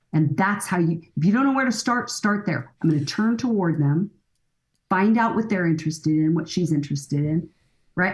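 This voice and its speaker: The voice is somewhat breathy, with lively intonation at a fairly quick pace. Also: woman. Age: 60s. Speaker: family counselor and author. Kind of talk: podcast interview.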